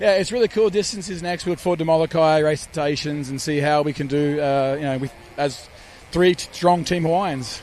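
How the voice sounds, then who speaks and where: The man speaks with an Australian accent at a moderate pace. His pitch is fairly high, with ordinary variation. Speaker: outrigger canoe paddler. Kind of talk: post-race interview.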